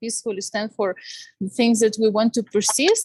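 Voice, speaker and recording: A woman with a Ukrainian accent. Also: dry, close sound with no echo. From Ukraine, Kyiv. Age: 30s. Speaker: panel speaker, Ukrainian youth organization member. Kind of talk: testimony. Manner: halting, many fillers.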